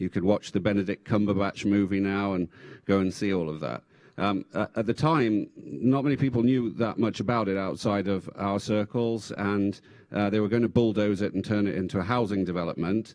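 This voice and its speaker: A man speaks at a fairly quick pace with fairly low pitch and ordinary pitch variation. The background is quiet. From England. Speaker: former tech executive and government official. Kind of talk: panel discussion. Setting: stage with audience.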